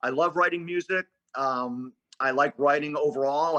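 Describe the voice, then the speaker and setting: A man's bright, sharp voice at a fairly high pitch, ordinary in pitch variation, with a dry, close sound and no echo. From Philadelphia, US Northeast. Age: 60s. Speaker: sports radio play-by-play announcer. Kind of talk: casual interview chat.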